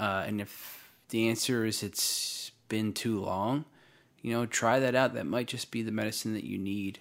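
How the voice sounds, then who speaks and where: A man with an American accent and an ordinary speaking voice talks at a fairly slow pace and medium pitch with fairly even intonation, in a very clean recording with a silent background. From US Northeast, South Jersey. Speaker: army veteran. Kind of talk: casual interview chat.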